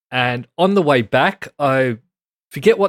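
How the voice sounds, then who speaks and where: With a dry, close sound and no echo, a man with an Australian accent speaks at a fairly high pitch with lively intonation. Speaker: podcast co-host. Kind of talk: casual chat.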